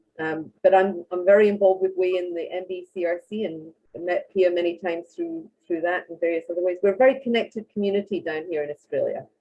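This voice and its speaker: A woman talks at a fairly quick pace in a fairly low, dark and mellow voice with ordinary pitch variation. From Scotland. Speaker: marine science researcher. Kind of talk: panel discussion.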